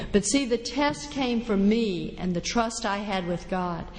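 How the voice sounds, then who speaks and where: A woman talks at a fairly slow pace and medium pitch. Her recording carries audible room echo and noticeable background noise. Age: 60s. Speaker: recovering alcoholic speaker. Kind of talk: recovery testimony talk.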